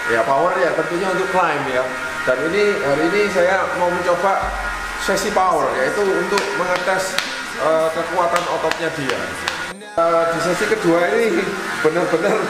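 Over clear background music and audible room echo, a man talks at a moderate pace. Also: ordinary pitch variation. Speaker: cycling coach. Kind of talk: commentary. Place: empty room. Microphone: camera far.

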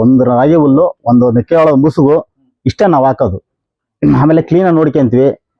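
A man with lively intonation speaks in an unremarkable speaking voice. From Karnataka, Chitradurga district. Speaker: dairy farmer. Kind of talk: casual interview on farm.

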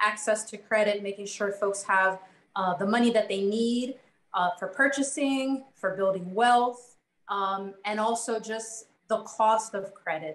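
A woman speaks with an American accent and fairly even intonation, with audible room echo around her voice. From US Mid-Atlantic (Maryland / DC area); US Mid-Atlantic. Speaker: consumer credit advocate; panelist. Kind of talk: online panel discussion. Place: home room. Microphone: webcam.

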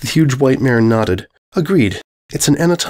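The speaker uses an unforced reading voice over a quiet background.

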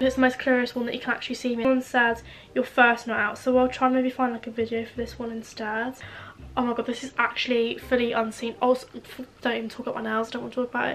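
Over light background noise, a woman talks very fast in a high pitch with a southern English accent and a monotone, flat intonation. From Isle of Wight, England. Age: young. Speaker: lifestyle vlogger. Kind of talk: casual talk to camera. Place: home room. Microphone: camera far.

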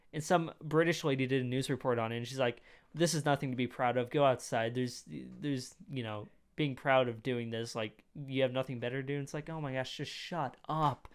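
Over a quiet background, a man at medium pitch speaks in an animated tone at a fairly quick pace. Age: 20s. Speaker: youtube reaction creator. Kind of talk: casual reaction commentary. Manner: animated, rambling with fillers. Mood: opinionated, mildly irritated. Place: home room. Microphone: studio mic.

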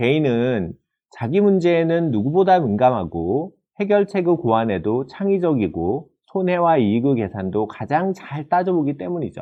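Pitched fairly high, a man speaks with very wide pitch swings. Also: moderate pace. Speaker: professor. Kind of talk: lecture. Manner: formal.

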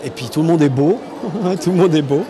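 Noticeable background noise surrounds a man whose voice is fairly high-pitched. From France. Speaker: voice actor. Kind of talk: interview answer. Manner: enthusiastic, hesitant. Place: hall. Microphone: handheld.

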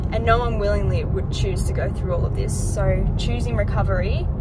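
A woman speaks at a moderate pace in a dry sound with no echo. Loud background noise fills the recording. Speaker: vlogger. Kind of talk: casual vlog chat. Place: car. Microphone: phone near.

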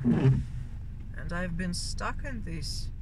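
Loud background noise with a dry sound and no echo. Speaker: vlogger driving. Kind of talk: casual vlog chat. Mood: mildly frustrated. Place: car. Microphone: phone near.

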